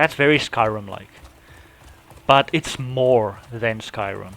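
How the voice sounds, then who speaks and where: Speaking very slowly with long, frequent pauses, a man uses a medium pitch with ordinary pitch variation. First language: not English. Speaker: gaming youtuber. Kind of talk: casual unscripted monologue. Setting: home recording app. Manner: halting, many restarts and fillers.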